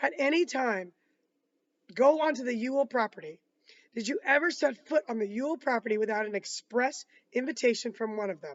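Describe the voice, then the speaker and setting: A woman's raspy, put-on character voice, high in pitch, fairly quick, with lively intonation. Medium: read story. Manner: measured, formal.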